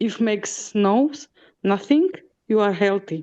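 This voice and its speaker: A woman speaks with a non-native accent at a very slow pace. Her voice sits at a medium pitch, with a dark, mellow tone. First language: not English. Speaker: discussion group participant. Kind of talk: casual chat. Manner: halting, many fillers.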